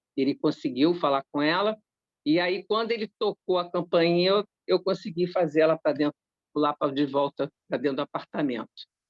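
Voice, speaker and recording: The tone is animated. The pace stays moderate. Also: woman, fairly low pitch for a woman. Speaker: spiritist study group leader. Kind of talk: group study discussion, personal anecdote. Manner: animated, repetitive.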